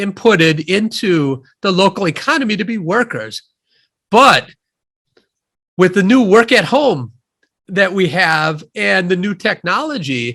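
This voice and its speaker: A man with a Midwestern accent talks at a very slow pace in a high pitch with a bright, sharp tone. The recording is very clean, with a silent background. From US Midwest, Wisconsin (near Madison). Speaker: economist and author. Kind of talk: interview.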